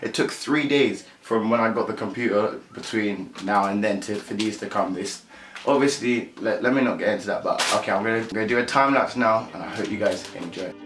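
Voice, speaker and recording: Over noticeable background noise, a man talks at a fairly quick pace with fairly even intonation and hardly any pauses. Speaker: youtuber. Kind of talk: casual vlog chat. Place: home room. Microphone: camera far.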